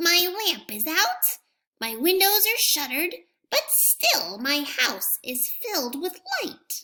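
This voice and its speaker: Putting on a character voice, a woman sounds high-pitched, squeaky and gruff, with very wide pitch swings. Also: fairly slow pace. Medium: read story. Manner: gruff, muttering.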